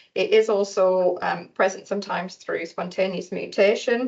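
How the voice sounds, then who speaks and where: With a northern English accent, a woman speaks at a moderate pace with fairly even intonation. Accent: noticeable non-local accent, northern English. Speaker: research centre staff speaking for a patient-focused partnership. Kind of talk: conference presentation. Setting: hospital conference room with audience.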